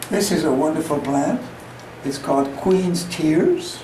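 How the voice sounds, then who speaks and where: A man's very slow speech over noticeable background noise. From Hungary. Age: 80s+. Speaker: amateur greenhouse gardener. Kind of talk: casual guided tour. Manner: hesitant, halting.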